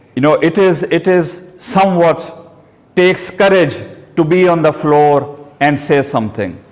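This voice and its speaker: Amid noticeable background noise and audible room echo, a man with a fairly high pitch and ordinary pitch variation speaks at a fairly slow pace. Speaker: person who stammers, self-help group leader. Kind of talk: short speech. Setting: hall with audience.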